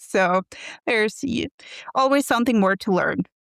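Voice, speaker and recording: A woman speaks with a Norwegian accent on a very clean recording with a silent background. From Norway. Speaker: quilt pattern designer. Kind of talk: podcast interview. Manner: halting.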